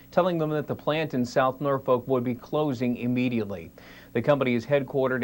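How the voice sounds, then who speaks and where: With an unremarkable speaking voice, a man talks at a medium pitch and a fairly quick pace, showing ordinary pitch variation. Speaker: TV news reporter. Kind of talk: live news report from bureau.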